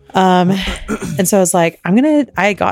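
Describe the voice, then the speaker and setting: A woman talks fairly fast, with clear background noise audible throughout. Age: 30s. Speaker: podcast co-host. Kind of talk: casual chat.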